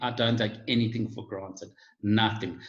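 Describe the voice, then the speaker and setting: A man speaks in a somewhat breathy voice. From South Africa, Johannesburg. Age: 50s. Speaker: guest on online talk show. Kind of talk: casual chat. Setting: video call.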